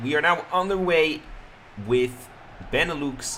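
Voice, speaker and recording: The recording has noticeable background noise and audible room echo. A man speaks with ordinary pitch variation. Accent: Dutch. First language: Dutch. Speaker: streamer and game commentator. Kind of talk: live commentary. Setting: live stream.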